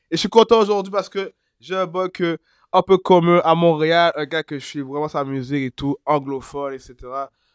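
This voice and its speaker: A man speaks at a moderate pace in a high voice. The recording is very clean with a silent background, and the sound is dry and close with no echo. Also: ordinary pitch variation. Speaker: hip-hop interviewer. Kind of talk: casual interview questions.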